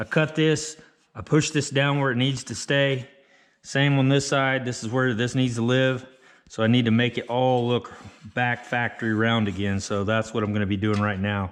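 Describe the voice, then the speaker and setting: A plain, everyday voice from a man, medium in pitch, with fairly even intonation and a moderate pace. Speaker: auto body fabricator. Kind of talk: tutorial.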